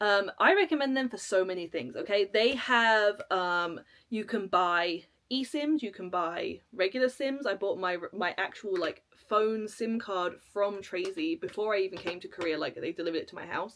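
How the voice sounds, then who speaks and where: A woman with a British accent speaks with lively intonation in a very clean recording with a silent background. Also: medium pitch for a woman. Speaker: travel vlogger. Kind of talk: casual tutorial to camera. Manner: fast.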